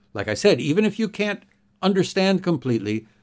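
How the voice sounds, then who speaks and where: A man with a North American accent in a very clean recording over a silent background. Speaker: English teacher. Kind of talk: tutorial. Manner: slow and clearly enunciated.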